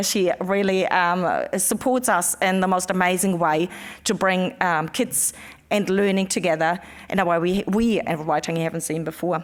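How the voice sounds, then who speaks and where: A woman speaks with a German accent. Her intonation stays fairly even. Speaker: museum education manager. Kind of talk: conference presentation. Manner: halting, many fillers.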